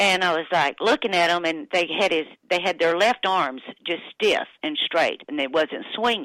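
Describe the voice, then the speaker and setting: At a fairly slow pace, a woman talks with a bright, sharp tone. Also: dry, close sound with no echo. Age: 60s. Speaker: widow of a musician. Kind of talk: interview. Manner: halting.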